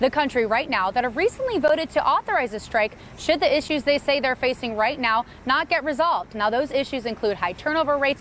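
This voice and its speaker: Noticeable background noise sits behind a woman who talks at a high pitch and a fairly quick pace. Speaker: TV news reporter and anchor.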